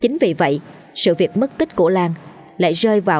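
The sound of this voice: Lively intonation in an unforced reading voice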